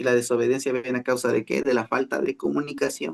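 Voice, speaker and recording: The sound is dry and close, with no echo. A man speaks at a fairly quick pace with a medium pitch. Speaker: pastor. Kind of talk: sermon.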